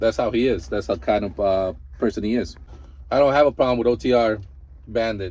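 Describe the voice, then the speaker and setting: With a Mexican accent, a man speaks at a fairly quick pace in a fairly low voice, his intonation lively and his pauses long and frequent. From Mexico. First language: Spanish. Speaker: truck driver and vlogger. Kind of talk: casual reaction commentary. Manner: animated.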